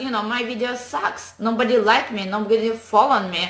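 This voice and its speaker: Over noticeable background noise and audible room echo, a woman with a non-native accent talks at a fairly high pitch. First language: not English. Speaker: online business coach. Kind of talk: motivational talk to camera. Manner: animated.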